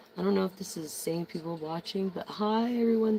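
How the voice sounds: The voice has a slightly mellow tone with vocal fry and a slightly husky edge.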